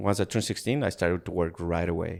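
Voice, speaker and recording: With a Spanish accent, a man speaks at a very deep, low pitch and fairly even intonation. It's a very clean recording with a silent background. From Ecuador. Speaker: podcast guest. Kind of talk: casual interview chat. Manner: halting, many repeated words.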